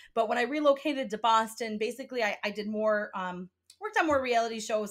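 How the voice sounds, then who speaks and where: With a Midwestern accent, a woman talks at a fairly quick pace with a fairly high pitch and ordinary pitch variation. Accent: sounds Midwestern. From upstate New York. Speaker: podcast host. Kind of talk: casual chat.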